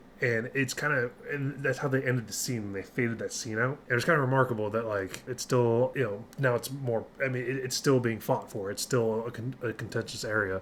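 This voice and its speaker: Fairly quick, nearly pause-free speech with fairly even intonation over noticeable background noise. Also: man. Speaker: metal music reaction youtuber, army soldier. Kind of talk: music reaction commentary. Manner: monotone.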